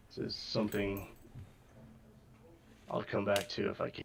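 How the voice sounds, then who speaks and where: In a put-on character voice, a man with a raspy, fairly low pitch talks at a moderate pace against clear background noise. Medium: actual play.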